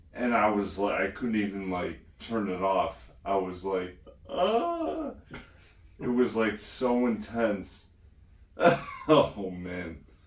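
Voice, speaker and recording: Amid noticeable background noise and audible room echo, a man speaks at a very slow pace with a fairly low pitch and long, frequent pauses. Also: ordinary pitch variation. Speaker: DBS patient vlogger. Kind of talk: casual chat.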